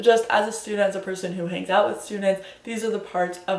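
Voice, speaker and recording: A woman with an American accent and medium pitch talks very fast in an animated tone. Audible room echo and noticeable background noise surround her. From New Jersey. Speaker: student vlogger. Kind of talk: casual vlog talk to camera.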